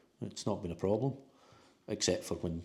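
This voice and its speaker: With a Scottish accent, a man talks at a fairly quick pace in a very deep, low voice. The tone is dark and mellow, and somewhat breathy. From Scotland. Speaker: new expat homebuyer. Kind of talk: casual interview.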